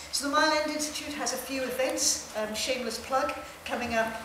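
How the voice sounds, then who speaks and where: The speech moves at a moderate pace amid noticeable background noise and audible room echo. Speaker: university administrator. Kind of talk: formal welcome speech. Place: hall. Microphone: podium.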